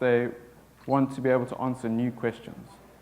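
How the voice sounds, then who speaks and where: Speaking at a moderate pace, a man talks with a South African accent. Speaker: software developer. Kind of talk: conference talk.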